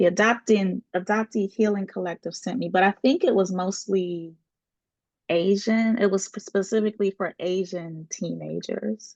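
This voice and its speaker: A woman speaks with fairly even intonation. The sound is dry and close, with no echo. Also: medium pitch for a woman. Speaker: scholar and panelist. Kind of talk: panel discussion. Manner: slow.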